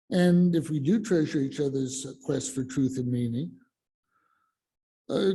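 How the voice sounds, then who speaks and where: A man with lively intonation and a dark, mellow, somewhat breathy tone talks at a moderate pace. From Colorado. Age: 60s. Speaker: lay speaker at church service. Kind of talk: sermon. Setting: church, in person and on Zoom. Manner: halting, many fillers.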